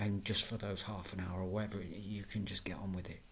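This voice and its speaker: Fairly quick and fairly even in intonation, a man speaks. His voice is fairly low and somewhat breathy. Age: 40s. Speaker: vlogger with fibromyalgia. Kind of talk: personal video diary. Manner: halting, many fillers and repeats.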